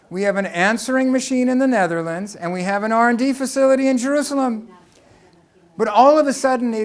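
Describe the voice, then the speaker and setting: Fairly quick male speech at an extremely high pitch, with audible room echo. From US West Coast, Los Angeles. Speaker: tech company engineer and speaker. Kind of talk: lecture.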